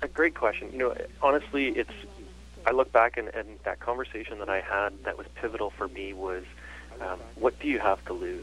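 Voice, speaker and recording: A man with a slight Canadian accent, speaking at a fairly quick pace. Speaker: chiropractor. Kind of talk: interview.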